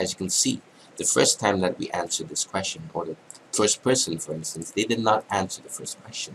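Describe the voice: A man's fairly bright voice at a moderate pace with ordinary pitch variation.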